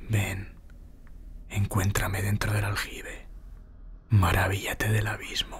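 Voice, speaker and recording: Very slowly, a man speaks with long, frequent pauses. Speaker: narrator. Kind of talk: ghost story telling, scripted horror narration. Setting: audio recording with sound design, best heard on headphones. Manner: intimate, directly addressing the listener as a guide.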